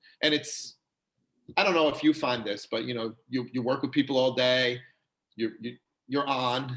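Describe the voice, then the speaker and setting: A man with a New York accent speaks at medium pitch. His intonation is fairly even, and he takes long, frequent pauses. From New York, Long Island. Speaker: chiropractor. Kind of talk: casual interview chat. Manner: fast; chatty, many fillers.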